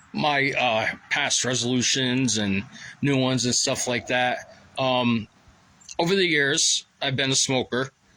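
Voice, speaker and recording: Speech at a fairly slow pace with ordinary pitch variation and very even loudness, over noticeable background noise. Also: man, medium pitch for a man. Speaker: vlogger. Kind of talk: casual monologue. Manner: halting, many fillers.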